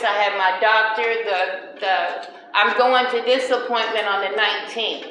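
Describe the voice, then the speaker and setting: Noticeable background noise and audible room echo surround a woman speaking at a fairly slow pace with a fairly high pitch and fairly even intonation. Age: 60s. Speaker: tenant. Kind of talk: interview.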